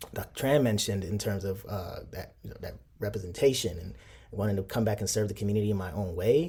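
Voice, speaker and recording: At a very fast pace, a man with a Chicago accent speaks in a somewhat breathy, dark, mellow voice of fairly low pitch. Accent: Chicago American. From Chicago, born in Nigeria. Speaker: professor. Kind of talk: interview.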